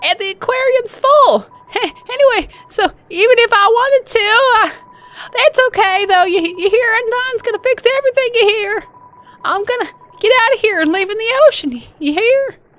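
An extremely high-pitched put-on character voice at a moderate pace, broken by long, frequent pauses. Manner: eager, rambling, repeats huh.

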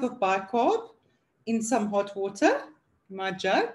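A woman is speaking. She goes very slowly. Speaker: product demonstrator. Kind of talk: tutorial.

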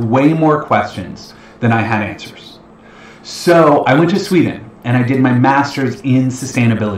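Ordinary pitch variation at a moderate pace, with audible room echo. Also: man. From Ontario, Canada (London, Ontario). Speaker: financial educator, investment planner. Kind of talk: webinar presentation. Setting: online livestream webinar. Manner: casual, filler-heavy. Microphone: webcam.

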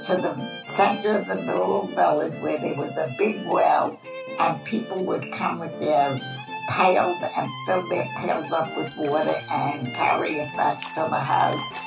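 A woman with an American accent speaks at a fairly slow pace. Music plays clearly in the background. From Brooklyn, New York. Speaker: Holocaust-era eyewitness. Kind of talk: documentary interview answer. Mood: warm, animated reminiscing. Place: home room.

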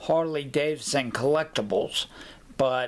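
Very slow and fairly high-pitched, a man speaks. His intonation stays fairly even. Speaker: collector showing an item. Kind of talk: casual talk to camera. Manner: halting, with pauses and fillers. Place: home room. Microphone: webcam.

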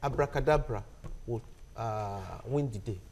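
A man is speaking. His pace is moderate. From Nigeria, Ondo State. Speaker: journalist. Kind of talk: panel discussion. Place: studio.

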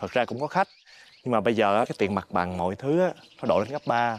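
A man talks at a fairly quick pace with lively intonation. The sound is dry, with no echo. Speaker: food stall vendor character. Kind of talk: scripted drama dialogue. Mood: worried, explaining poor business. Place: garden.

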